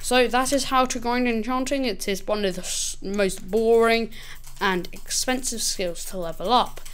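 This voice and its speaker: With audible room echo, a woman talks at a fairly slow pace in a fairly high pitch. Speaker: gaming youtuber. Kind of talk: gameplay tutorial. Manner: casual.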